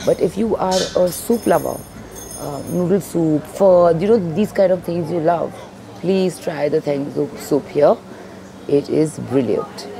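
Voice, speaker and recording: Against noticeable background noise, a woman with a fairly low pitch and ordinary pitch variation speaks at a fairly slow pace with long, frequent pauses. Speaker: food vlogger. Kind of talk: casual food review vlog chat. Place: cafe. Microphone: lapel.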